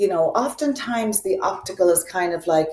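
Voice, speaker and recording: Lively in her intonation, a woman speaks with a slight Irish accent. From Ireland. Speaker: optical business consultant. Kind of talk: interview.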